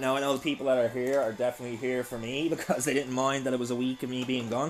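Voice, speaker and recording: At a very fast pace, a man speaks at medium pitch. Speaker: gaming live streamer. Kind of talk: live stream chat. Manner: loud; animated.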